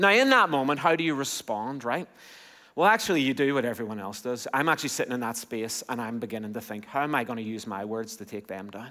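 At a fairly quick pace and medium pitch, a man with an Irish accent talks over a quiet background. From Ireland. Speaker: pastor. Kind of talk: sermon. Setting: church. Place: church. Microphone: headset.

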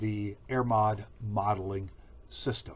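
A man's somewhat breathy voice. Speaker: training video host. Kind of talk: video introduction. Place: office. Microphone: webcam.

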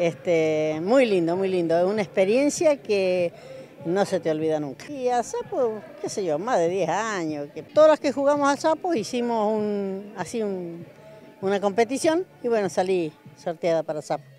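At a moderate pace, the voice makes very wide pitch swings, with a dry sound with no echo and faint music in the background. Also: woman. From General Alvear, Mendoza, Argentina. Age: 70s. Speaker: senior sapo player. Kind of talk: interview answer. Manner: cheerful, chatty. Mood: proud, cheerful. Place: hall. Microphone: handheld.

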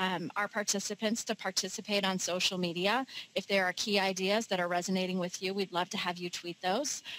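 A woman at a fairly quick pace, in dry sound with no echo. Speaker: webinar host. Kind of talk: webinar host introduction. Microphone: headset.

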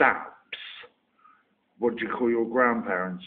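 A man with a Somerset accent, medium in pitch. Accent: Somerset, West Country English. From Somerset, England. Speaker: online video maker doing an accent tag. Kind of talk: casual, informal.

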